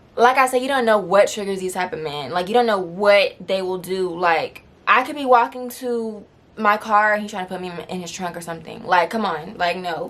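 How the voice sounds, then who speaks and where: Against noticeable background noise, a woman speaks at a moderate pace and medium pitch, with ordinary pitch variation and big swings in loudness. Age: 20s. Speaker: storytime YouTuber. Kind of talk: casual storytime talk to camera.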